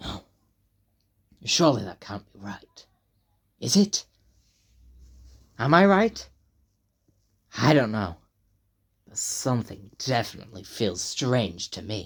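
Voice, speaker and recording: Long, frequent pauses breaking up a fairly slow put-on character voice. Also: man, medium pitch for a man. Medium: read story. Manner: uncertain, questioning.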